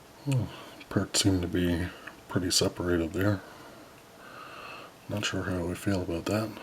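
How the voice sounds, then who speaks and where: A man with a very deep, low pitch talks at a moderate pace with fairly even intonation and long, frequent pauses. Noticeable background noise sits behind him. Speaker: model kit builder. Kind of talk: tutorial. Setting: home at night. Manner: soft-spoken.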